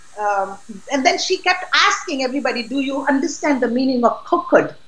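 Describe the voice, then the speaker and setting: Over noticeable background noise and audible room echo, a woman speaks at a high pitch. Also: fairly quick pace. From Pakistan. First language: not English (Pakistani language). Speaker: political activist. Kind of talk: interview. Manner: outspoken; halting.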